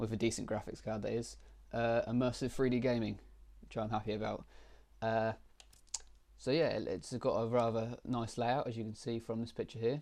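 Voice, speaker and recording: A man with a British accent speaks at medium pitch and a moderate pace. His intonation is monotone and flat, with long, frequent pauses. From Britain. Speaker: tech YouTuber. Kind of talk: screen-recorded tutorial walkthrough. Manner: halting, many fillers.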